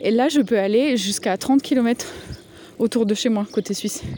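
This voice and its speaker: A woman's fairly high voice, with ordinary pitch movement, comes through noticeable background noise. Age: 30s. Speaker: podcast host. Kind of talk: voicemail message monologue. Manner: casual, hesitant with many fillers.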